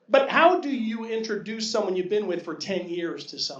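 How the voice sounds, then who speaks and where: A man talks at a moderate pace in a high pitch. There is audible echo from the room. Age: 60s. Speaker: amateur stand-up comedian. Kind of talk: stand-up. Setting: comedy club stage with audience.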